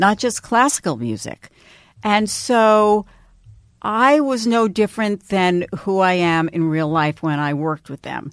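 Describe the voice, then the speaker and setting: In a dry, close sound with no echo on a very clean recording with a silent background, a woman with an American accent speaks at a fairly slow pace in an unremarkable speaking voice, medium in pitch, with lively intonation. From New York, Long Island. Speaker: radio personality. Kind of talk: interview.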